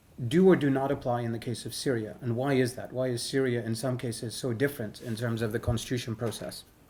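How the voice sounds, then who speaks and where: Speaking very fast with hardly any pauses, a man has a medium pitch, fairly even intonation, a somewhat breathy, dark, mellow tone, and audible room echo around him. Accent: American. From British Indian American. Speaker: constitutional law expert, lecturer. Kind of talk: lecture. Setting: workshop with interpreters.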